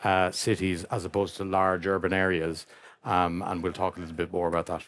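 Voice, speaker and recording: With an Irish accent, the speaker goes at a fairly quick pace in a monotone, flat intonation on a very clean recording with a silent background. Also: man, very deep, low pitch for a man. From Ireland. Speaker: company founder, panelist. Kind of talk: panel discussion.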